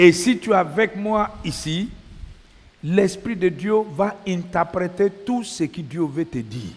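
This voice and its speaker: A man with a high voice talks very slowly, his intonation lively. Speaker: preacher. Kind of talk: sermon.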